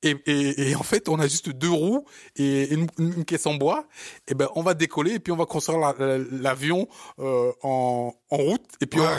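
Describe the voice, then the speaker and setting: A man with a Parisian accent speaks at a moderate pace in a fairly high pitch, with ordinary pitch variation and very even loudness. The recording is very clean with a silent background and a dry, close sound with no echo. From born in Africa, raised in Paris. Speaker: podcast co-host, entrepreneur. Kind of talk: casual chat. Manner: animated; halting.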